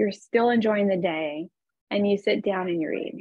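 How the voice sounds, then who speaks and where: Against a quiet background, a woman speaks with lively intonation at a moderate pace, the sound dry with no echo. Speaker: real estate agent and coach; presenter, real estate coach. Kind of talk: calm guided visualization, eyes-closed breathing exercise led over video call. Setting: video call. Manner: warm, chatty, encouraging. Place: home room. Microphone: webcam.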